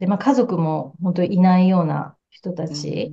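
A woman speaks at a moderate pace in a medium pitch, her tone dark and mellow and somewhat breathy. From Japan. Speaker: psychotherapist. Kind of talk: casual interview. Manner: warm and gentle.

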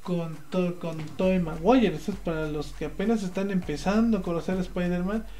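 Over noticeable background noise and audible room echo, a man with a high voice talks at a moderate pace with hardly any pauses. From Mexico, Puebla. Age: 20s. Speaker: podcast host. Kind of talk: casual chat. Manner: animated, halting with many fillers.

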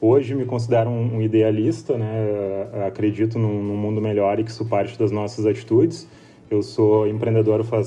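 Over music in the background, a man with a southern Brazilian accent speaks at a moderate pace and fairly low pitch with fairly even intonation. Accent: gaúcho Brazilian Portuguese. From Rio Grande do Sul, Brazil (São Sebastião do Caí). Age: 30s. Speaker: entrepreneur. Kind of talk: interview.

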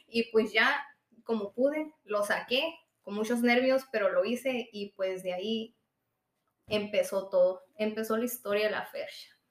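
Using an ordinary speaking voice, a woman talks fairly slowly at a fairly high pitch with ordinary pitch variation. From Sonora, Mexico (Hermosillo). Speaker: rapper. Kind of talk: casual interview.

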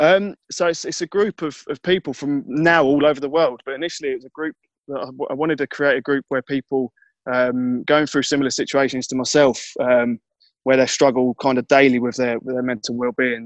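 With a southeast English accent, a man speaks at medium pitch with fairly even intonation, over a quiet background and with a dry, close sound with no echo. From Kent, southeast England. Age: 30s. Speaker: mental health advocate and charity fundraiser. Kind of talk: interview. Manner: halting.

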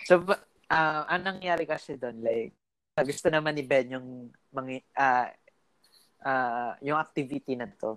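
Long pauses turn up frequently. The pace overall is fairly slow. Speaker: podcast co-host. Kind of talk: casual chat.

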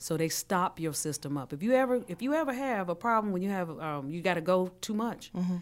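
A woman with an unremarkable speaking voice talks at a fairly quick pace and medium pitch, with lively intonation and hardly any pauses, in a very clean recording with a silent background. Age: 50s. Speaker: health coach. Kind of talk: casual chat.

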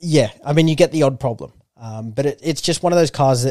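Very fast and in a dark, mellow tone, a man with a fairly high pitch talks in a dry, close sound with no echo. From New Zealand. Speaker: car enthusiast co-host. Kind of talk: casual chat.

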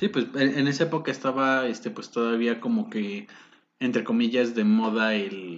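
This man has a normal speaking voice, medium in pitch, with ordinary pitch variation and a moderate pace. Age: 20s. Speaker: podcast host. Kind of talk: casual chat. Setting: home studio.

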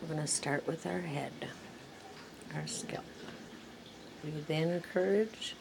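A woman's very deep, low voice with lively intonation, at a very slow pace with long, frequent pauses, over noticeable background noise. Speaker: meditation guide. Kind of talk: guided meditation. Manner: slow, calm, soothing; gentle, repetitive, paced with pauses.

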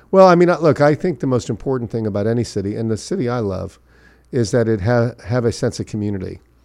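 This man has an American accent and lively intonation. He talks at a very fast pace. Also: medium pitch for a man, quiet background. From Miami Beach, Florida. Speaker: mayoral candidate. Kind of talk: interview. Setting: studio.

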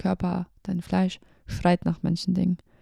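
In a dry, close sound with no echo, a woman speaks at a medium pitch and a fairly slow pace, her dark, mellow tone somewhat breathy and her intonation monotone and flat. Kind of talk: casual personal talk about faith.

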